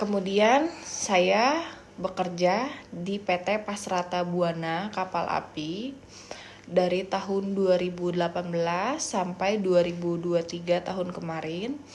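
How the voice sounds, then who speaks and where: Over noticeable background noise, a woman with a medium pitch talks at a very slow pace with ordinary pitch variation. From Indonesia, Pandeglang, Banten. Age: 30s. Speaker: job applicant, sales representative. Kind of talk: self-introduction video. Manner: halting, many fillers.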